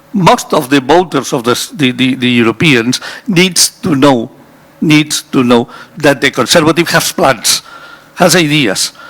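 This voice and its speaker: The speaker has lively intonation and a fairly slow pace, with very even loudness. Noticeable background noise sits behind the voice. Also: man, fairly high pitch for a man. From Spain. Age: 60s. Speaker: energy industry specialist on a conference panel. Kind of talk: panel discussion. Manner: halting, many repetitions.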